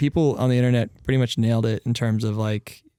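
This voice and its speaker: A man speaks at a very fast pace in a dark, mellow tone of medium pitch, with fairly even intonation and a dry, close sound with no echo. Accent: General American. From Colorado. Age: 20s. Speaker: band frontman and songwriter. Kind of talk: podcast interview.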